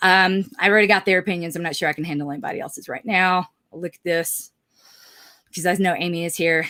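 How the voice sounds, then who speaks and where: A woman's bright, sharp, fairly low voice in a Southern US accent, at a very fast pace with fairly even intonation. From US South. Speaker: life coach. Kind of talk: casual monologue to camera. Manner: loud.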